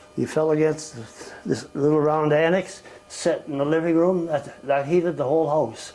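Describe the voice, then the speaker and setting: A man's fairly high-pitched voice with fairly even intonation at a moderate pace, against noticeable background noise. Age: 80s+. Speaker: family elder recounting life history. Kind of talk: interview answer. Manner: reminiscing, rambling.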